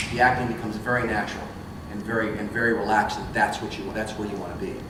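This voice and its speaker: With noticeable background noise and audible room echo, a man with a fairly low voice talks at a very fast pace in fairly even intonation. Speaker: voice actor and voice acting teacher. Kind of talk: convention panel workshop talk. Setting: convention panel room with audience, no microphone. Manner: loud, projecting; casual, with false starts. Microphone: no microphone.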